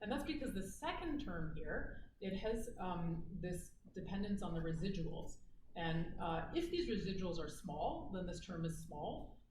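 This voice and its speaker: Speaking at a fairly slow pace with lively intonation, a woman is heard in a room with audible echo and noticeable background noise. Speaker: university lecturer. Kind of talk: lecture. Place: hall. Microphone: camera far.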